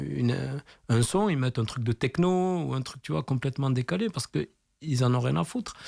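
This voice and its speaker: A man speaks with a southwestern French accent at a medium pitch. The sound is dry and close, with no echo. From southwestern France, Tarbes. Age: 40s. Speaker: graffiti artist. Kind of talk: radio interview. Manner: casual, hesitant with many fillers.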